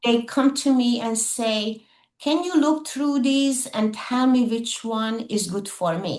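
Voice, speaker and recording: A woman with a non-native accent speaks in a high voice at a very slow pace. Her pitch varies in an ordinary way. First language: not English. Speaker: insurance claims assistance professional. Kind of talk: interview.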